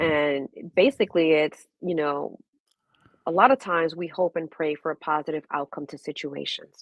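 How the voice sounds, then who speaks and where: A woman with a New York accent speaks at a moderate pace in a very deep, low voice, her pitch varying in an ordinary way while her loudness swings widely. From Brooklyn, New York. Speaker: registered nurse and holistic wellness coach. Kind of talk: interview answer.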